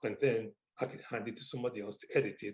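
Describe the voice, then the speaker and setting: A man is speaking. He talks at a very fast pace. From Wolverhampton, England. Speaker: author. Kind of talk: interview answer.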